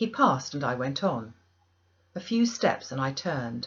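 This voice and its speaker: A woman talks at a moderate pace in a very deep, low pitch. Her voice is somewhat breathy. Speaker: audiobook reader. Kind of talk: audiobook narration of a classic novel.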